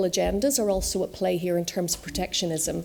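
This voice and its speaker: Noticeable background noise sits behind a woman's voice. Her pitch varies in an ordinary way. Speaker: conference speaker on fintech regulation. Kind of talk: conference talk. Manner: fast.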